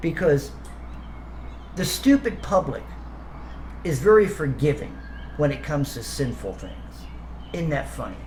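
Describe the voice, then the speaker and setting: Amid noticeable background noise, a man speaks with long, frequent pauses and big swings in loudness. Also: moderate pace. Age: 60s. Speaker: video commentator. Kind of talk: rant. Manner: stammering, repeats words; animated.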